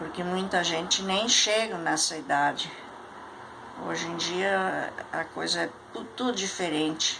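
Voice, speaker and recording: Amid noticeable background noise and audible room echo, a woman with a fairly low pitch speaks fairly slowly, with long, frequent pauses and ordinary pitch variation. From Rio Grande do Sul, Brazil (Candelária). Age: 80s+. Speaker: elderly interviewee recounting life history. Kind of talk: oral history interview.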